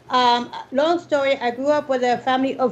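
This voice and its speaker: A woman with an American accent speaks in a high voice with fairly even intonation. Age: 60s. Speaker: salsa dancer. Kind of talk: interview.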